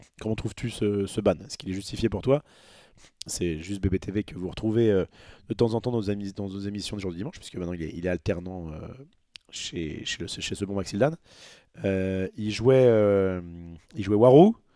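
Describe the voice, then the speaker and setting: Dry, close sound with no echo, a man's dark, mellow tone, moderate pace with long, frequent pauses, big swings in loudness and ordinary pitch variation. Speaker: streamer, card game commentator. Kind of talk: livestream, reading article and reacting. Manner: halting.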